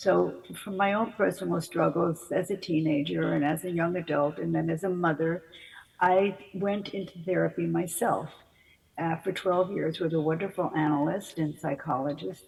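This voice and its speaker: At a moderate pace, a woman talks with vocal fry, fairly even intonation and a fairly low pitch. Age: 80s+. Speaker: psychotherapist and author. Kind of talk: interview. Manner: halting, with many fillers.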